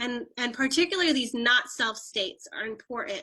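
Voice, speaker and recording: A woman's raised, projected voice, high in pitch and bright and sharp in tone, with fairly even intonation at a moderate pace. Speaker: human design teacher. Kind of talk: casual chat.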